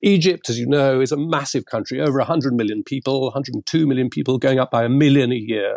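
A man with a British accent talks at a very fast pace with hardly any pauses, at a medium pitch with ordinary pitch variation, and the sound is dry and close with no echo. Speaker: former diplomat. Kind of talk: interview. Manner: formal.

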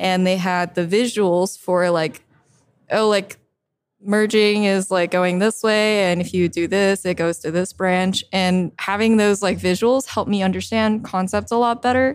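A woman speaks in a plain, everyday voice at medium pitch and a fairly slow pace. Her intonation is fairly even and her loudness very even. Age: 20s. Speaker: developer advocate. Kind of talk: casual chat. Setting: conference recording.

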